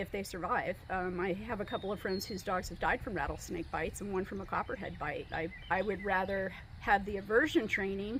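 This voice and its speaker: A woman talks at a moderate pace and medium pitch in an ordinary speaking voice. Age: 60s. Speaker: dog trainer. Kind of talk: interview testimonial.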